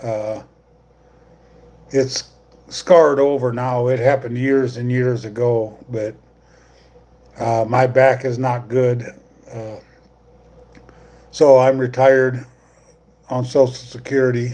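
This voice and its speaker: A man with an American accent speaks at a very slow pace and a medium pitch, leaving long, frequent pauses. His intonation is flat and monotone, with noticeable background noise. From US Midwest, northwest Iowa. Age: 60s. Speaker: YouTuber, retiree. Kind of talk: live stream chat. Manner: casual, halting with fillers.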